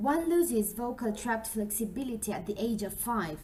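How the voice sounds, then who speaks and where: A woman with a Spanish accent talks at a moderate pace. Her fairly high voice has lively intonation. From Colombia. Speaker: English teacher trainee. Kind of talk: scripted narration. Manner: formal.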